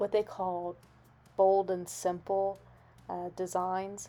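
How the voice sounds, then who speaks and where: This soft-spoken woman has a dark, mellow tone, a medium pitch and a monotone, flat intonation. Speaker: craft and lifestyle YouTuber. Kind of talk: voiceover narration. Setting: home recording late at night. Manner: quiet to avoid waking others.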